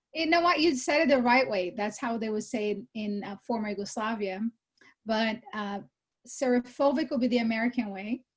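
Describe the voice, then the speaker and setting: A somewhat breathy woman's voice, fairly high in pitch, at a moderate pace with ordinary pitch variation. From Brazil. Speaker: real estate executive. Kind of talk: interview.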